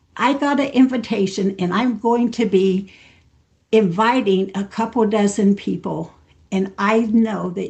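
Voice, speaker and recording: A woman with a somewhat breathy voice and ordinary pitch variation talks over a quiet background. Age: 70s. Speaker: network marketing trainer. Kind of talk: training talk. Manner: animated.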